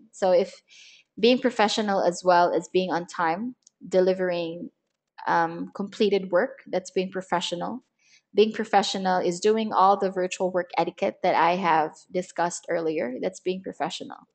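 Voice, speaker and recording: In a normal speaking voice, a woman talks at a medium pitch with ordinary pitch variation over a quiet background. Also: moderate pace. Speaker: virtual assistant trainer. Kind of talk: webinar lecture. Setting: online webinar. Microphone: internet connection problems.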